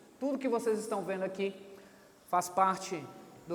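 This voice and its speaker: A man's fairly even intonation, with audible room echo and noticeable background noise. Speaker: pastor. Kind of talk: sermon. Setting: church stage with audience.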